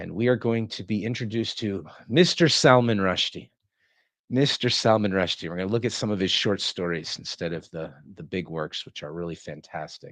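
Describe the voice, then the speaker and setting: Over a quiet background, a man with a very deep, low pitch speaks at a moderate pace, with ordinary pitch variation and big swings in loudness. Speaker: live streamer reading literature. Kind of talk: casual live stream chat. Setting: live stream.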